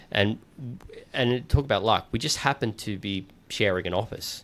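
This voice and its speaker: Very clean recording, silent background: a man talks with an Australian accent. His pitch is fairly low, with ordinary variation. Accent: quite Australian. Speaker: podcast host and founder. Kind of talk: casual chat. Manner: halting, many fillers and repeated words.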